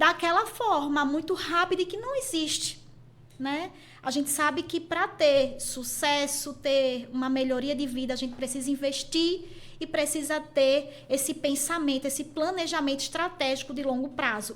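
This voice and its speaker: With a Pernambuco accent, a woman speaks at a high pitch with ordinary pitch variation. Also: moderate pace. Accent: Pernambuco accent, kept. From Pernambuco, Brazil. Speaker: university teacher and college head. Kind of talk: podcast interview.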